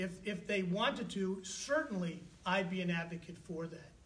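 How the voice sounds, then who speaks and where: A loud man speaks at a high pitch with ordinary pitch variation amid audible room echo. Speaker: mayoral candidate. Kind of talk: political debate.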